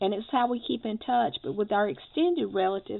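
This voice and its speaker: A woman's medium-pitched voice carries lively intonation. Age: 60s. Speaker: crafting video creator. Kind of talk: casual tutorial. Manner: hesitant, many fillers.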